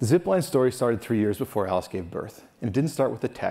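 This is a man speaking. He goes at a very fast pace. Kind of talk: conference keynote talk. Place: stage. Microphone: lapel.

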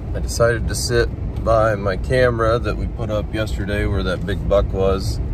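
Against noticeable background noise, a man is heard in a dry recording with no echo. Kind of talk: casual vlog chat. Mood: disappointed, reflective. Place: car. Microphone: phone near.

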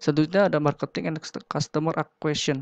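Very fast speech comes through against a quiet background, with a dry sound and no echo. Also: man. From Indonesia. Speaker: university student presenting a business idea; presenter. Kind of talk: business pitch presentation. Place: home room. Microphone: webcam.

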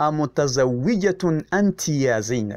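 Here a man speaks at a fairly high pitch with very wide pitch swings. The recording is very clean, with a silent background. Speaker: Arabic teacher. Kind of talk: tutorial. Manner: slow, repetitive drilling.

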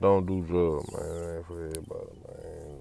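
Very deep and low, a man's dark, mellow voice comes through dry with no echo and light background noise. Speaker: vlogger. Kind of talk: casual vlog talk. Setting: in a car.

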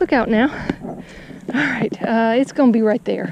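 A woman speaks with ordinary pitch variation. The sound is dry with no echo, and there is noticeable background noise. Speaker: fishing vlogger. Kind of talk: casual vlog chat. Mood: amused, cautious. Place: waterside. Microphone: phone near.

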